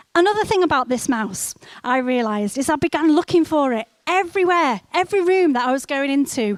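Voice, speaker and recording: Lively in intonation and high in pitch, a woman speaks at a fairly quick pace. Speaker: church speaker. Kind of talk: sermon. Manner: halting.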